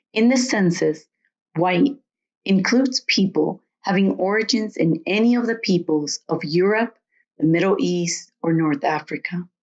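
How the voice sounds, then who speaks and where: With a Latin American accent, a woman talks at a fairly slow pace in a medium pitch, using lively intonation and very even loudness. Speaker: storyteller. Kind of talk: personal essay reading.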